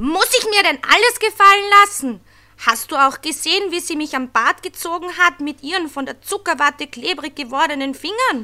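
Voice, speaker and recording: A woman uses a put-on character voice, extremely high in pitch, at a moderate pace. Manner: angry, indignant.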